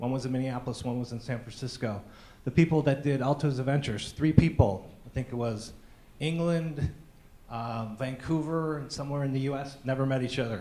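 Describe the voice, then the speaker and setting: A man's dark, mellow tone at a fairly quick pace, fairly even in intonation, with audible room echo. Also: medium pitch for a man. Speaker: conference speaker. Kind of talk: conference talk.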